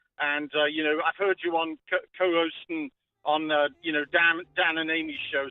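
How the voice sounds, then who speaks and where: A man with a British accent speaks at a moderate pace in a fairly high pitch, his intonation monotone and flat. Music plays in the background. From UK. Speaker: caller. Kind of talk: casual chat. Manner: hesitant, many fillers.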